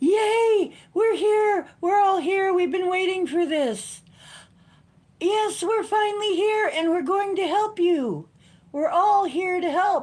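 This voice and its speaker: In a squeaky put-on character voice, the speaker projects at an extremely high pitch and a fairly slow pace. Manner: excited, cheerful.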